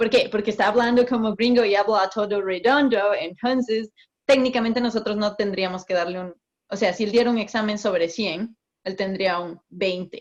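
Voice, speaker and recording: The woman's pace is moderate. She keeps her intonation fairly even. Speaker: migration consultant. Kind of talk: interview. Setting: video call.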